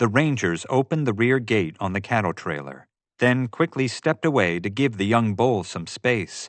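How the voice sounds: A natural reading voice with lively intonation, against a quiet background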